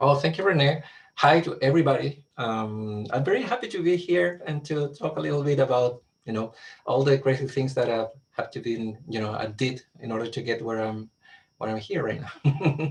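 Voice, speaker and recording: A man with a Chilean accent and ordinary pitch variation. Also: medium pitch for a man, moderate pace. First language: Spanish. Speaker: astronomer and government science official. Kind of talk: career talk with slides. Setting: video call webinar.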